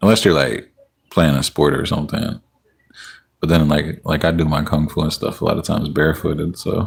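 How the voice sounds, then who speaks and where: With a very deep, low pitch and some vocal fry, a man talks at a fairly quick pace in a relaxed tone with ordinary pitch variation. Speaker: livestreamer, poet. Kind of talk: casual live stream chat with viewers. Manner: relaxed, chatty.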